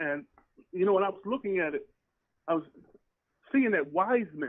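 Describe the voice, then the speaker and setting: With lively intonation and a fairly quick pace, a man speaks in a high pitch with an American accent. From New Rochelle, New York. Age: 60s. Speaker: caller. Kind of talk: casual chat.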